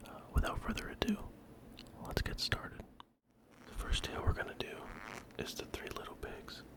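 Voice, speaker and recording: Whispering at a fairly quick pace, the speaker leaves long, frequent pauses over noticeable background noise. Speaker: ASMR creator. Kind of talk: casual talk to camera. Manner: whispered.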